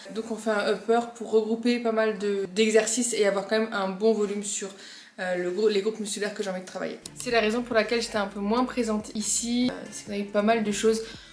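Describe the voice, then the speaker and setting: Over noticeable background noise, a woman speaks at a fairly high pitch and fairly quick pace with monotone, flat intonation. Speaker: fitness youtuber, bodybuilding competitor. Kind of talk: casual vlog talk. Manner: fast; hesitant, many fillers.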